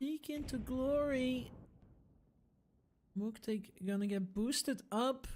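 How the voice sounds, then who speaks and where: A high-pitched woman with a non-native accent, ordinary pitch variation and a very slow pace. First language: not English. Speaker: esports caster. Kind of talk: live commentary; casual chat. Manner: animated.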